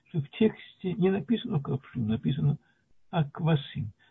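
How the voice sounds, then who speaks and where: Lively intonation marks this man's unremarkable speaking voice, which sits at a fairly high pitch and moves at a moderate pace. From Latvia (Soviet Union). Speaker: retired mathematician, lecturer. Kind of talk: lecture.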